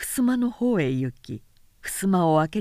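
The voice reads the text aloud in a natural way.

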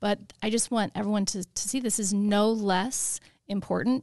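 Recorded dry and close with no echo, a woman speaks at a medium pitch in a plain, everyday voice with fairly even intonation. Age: 50s. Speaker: program organizer. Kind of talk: casual chat.

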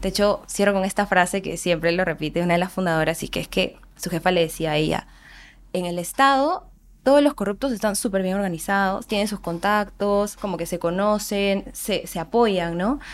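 A woman speaks at medium pitch and a moderate pace with ordinary pitch variation, in an unremarkable speaking voice. The recording is very clean, with a silent background. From Peru, Andahuaylas (Apurímac). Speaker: nonprofit board member. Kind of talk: podcast interview.

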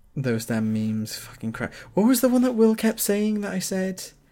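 Lively intonation marks this man's ordinary speaking voice. He keeps a moderate pace. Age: 20s. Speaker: podcast host. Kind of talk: casual chat. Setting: online voice call.

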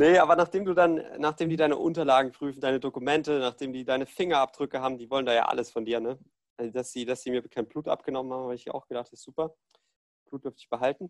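Talking at a very fast pace, a man shows big swings in loudness and ordinary pitch variation, in a dry, close sound with no echo. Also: medium pitch for a man. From Germany, Ludwigshafen. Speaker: student, podcast host. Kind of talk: casual chat.

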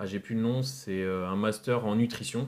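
A man speaking in fairly even intonation. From France, Rennes (Brittany). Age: 20s. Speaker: entrepreneur, drink brand founder. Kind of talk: podcast interview.

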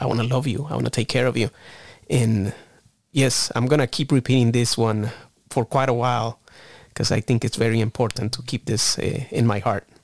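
In a very clean recording with a silent background and a dry, close sound with no echo, a man with a medium pitch speaks at a fairly quick pace with fairly even intonation in a normal speaking voice. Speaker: podcast host. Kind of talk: casual chat.

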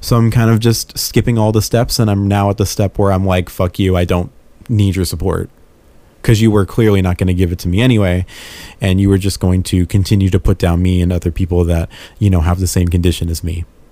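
Very deep and low, a man's voice with a dark, mellow tone runs at a very fast pace with fairly even intonation. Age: 20s. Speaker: podcast host. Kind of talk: casual monologue. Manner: halting, many fillers.

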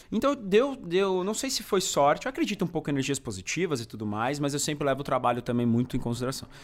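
At a very fast pace, a man talks with a fairly high pitch and very wide pitch swings. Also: hardly any pauses. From Brazil, São Bernardo do Campo (Greater São Paulo). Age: 30s. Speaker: food YouTuber. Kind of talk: casual chat.

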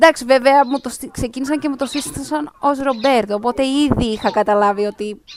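Over noticeable background noise, a woman with a high pitch talks at a moderate pace with hardly any pauses and ordinary pitch variation. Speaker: podcast host. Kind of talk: casual chat.

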